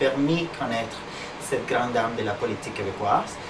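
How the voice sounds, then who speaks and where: Over noticeable background noise and audible room echo, a man with a non-native accent speaks at a medium pitch with ordinary pitch variation. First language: not French (speaking French). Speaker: interviewer. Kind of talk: interview. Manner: halting.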